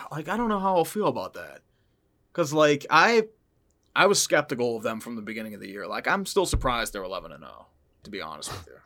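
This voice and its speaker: A man with an American accent talks at a very fast pace in a bright, sharp tone at a fairly high pitch, with vocal fry. His pitch swings very widely and his loudness swings a lot, on a very clean recording with a silent background. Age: 30s. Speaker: football YouTuber. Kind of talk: casual interview chat.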